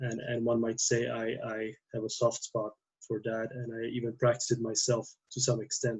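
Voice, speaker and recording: A man speaks at a moderate pace with a medium pitch. His voice is somewhat breathy, with flat, monotone intonation. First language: not English. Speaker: theology PhD student and priest. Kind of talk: casual podcast conversation. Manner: halting, many fillers.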